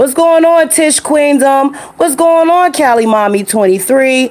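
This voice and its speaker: A loud woman at a moderate pace over noticeable background noise. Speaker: truck driver and live-stream host. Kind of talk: casual live stream chat. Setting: home studio live stream.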